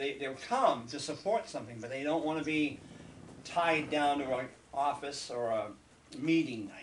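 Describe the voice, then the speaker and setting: Moderate-paced speech from a man with a fairly high pitch, audible room echo around it. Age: 60s. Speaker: local TV host. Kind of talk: casual interview.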